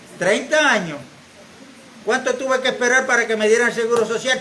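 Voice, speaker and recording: A man talks at a moderate pace with an extremely high pitch. The room echo is audible and background noise is noticeable. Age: 70s. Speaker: church member. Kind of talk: church exhortation.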